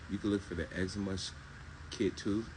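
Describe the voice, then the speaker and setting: A soft-spoken man with a very deep, low pitch, a fairly quick pace and audible room echo. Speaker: herbal health seller. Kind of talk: live stream Q&A.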